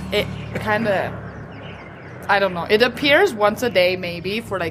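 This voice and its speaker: Over music in the background, a woman speaks with a German accent at a medium pitch, her intonation lively. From rural Germany. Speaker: teacher. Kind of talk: casual chat. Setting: restaurant.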